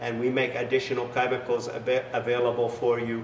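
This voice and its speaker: Male speech carrying audible room echo, plus light noise in the background. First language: not English. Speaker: business founder; business owner demonstrating product. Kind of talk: sales pitch with demonstration. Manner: halting, many fillers. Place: garage.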